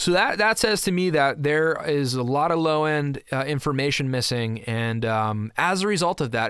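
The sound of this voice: A man's voice comes through with a fairly bright tone that is clear and smooth.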